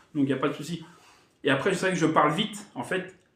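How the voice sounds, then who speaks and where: Audible room echo surrounds a man as he talks. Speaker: gaming youtuber. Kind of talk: casual vlog talk to viewers. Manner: fast; hesitant, halting.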